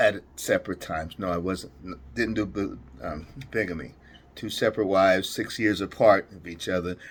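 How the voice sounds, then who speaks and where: A very deep, low-pitched man at a moderate pace, big swings in loudness, on a very clean recording with a silent background. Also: ordinary pitch variation. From Jamaica. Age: 60s. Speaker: real estate vlogger. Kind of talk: casual vlog monologue. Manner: halting, many fillers and repetitions.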